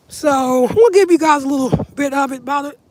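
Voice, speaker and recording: Against noticeable background noise, a woman speaks in a high pitch. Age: 30s. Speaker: vlogger. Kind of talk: casual chat. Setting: outdoors. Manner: casual, rambling pace.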